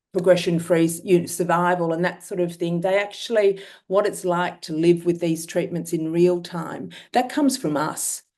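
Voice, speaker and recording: A woman's fairly low voice with an Australian accent and fairly even intonation, over a quiet background. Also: moderate pace. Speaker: myeloma patient. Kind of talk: testimony. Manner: halting.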